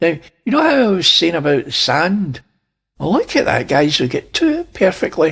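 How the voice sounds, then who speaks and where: A man speaks at a moderate pace in a Scottish accent. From Scotland. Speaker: space video commentator. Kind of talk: casual video commentary.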